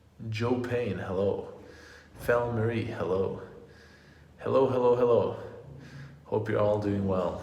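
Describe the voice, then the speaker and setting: Audible room echo surrounds a man speaking at a moderate pace with fairly even intonation. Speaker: vegan fitness youtuber. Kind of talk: live stream Q and A. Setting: hotel room live stream. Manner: halting, stuttering. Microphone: echoey room.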